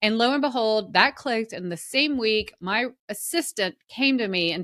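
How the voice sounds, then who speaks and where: On a very clean recording with a silent background, a woman with a Southern US accent speaks in a bright, sharp tone with lively intonation. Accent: Southern American. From US South. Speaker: personal brand consultant and author. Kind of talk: casual chat.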